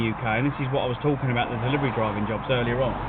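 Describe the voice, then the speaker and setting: A man with a southeast English accent speaks very fast at a medium pitch with ordinary pitch variation, with audible room echo and noticeable background noise. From England. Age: 40s. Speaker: food delivery driver streamer. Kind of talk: casual live-stream chat.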